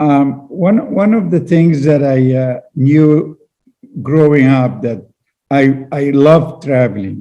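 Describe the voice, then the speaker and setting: A man speaks at a fairly high pitch with a dark, mellow tone. His pace is very slow. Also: ordinary pitch variation. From Egypt, Cairo. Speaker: engineering entrepreneur. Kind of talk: interview. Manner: halting, many fillers.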